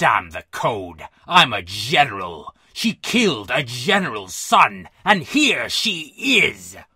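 A man in a put-on character voice, medium in pitch with big pitch swings, bright and sharp in tone with a slightly husky edge, at a slow pace

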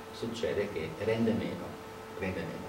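Loud background noise fills the recording. The speech comes at a moderate pace with audible room echo. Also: man. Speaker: speaker. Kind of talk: lecture. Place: meeting room. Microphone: camera far.

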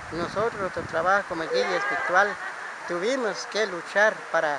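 Loud background noise behind a voice with ordinary pitch variation. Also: man, dry sound with no echo. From Guatemala. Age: 60s. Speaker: Mayan spiritual guide; spiritual guide. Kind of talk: testimony; interview answer. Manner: halting. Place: open country.

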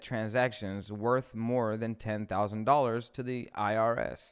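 Someone male is talking. Nothing much can be heard behind him. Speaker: live stream host. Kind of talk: news commentary, reading articles. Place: studio. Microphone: studio mic.

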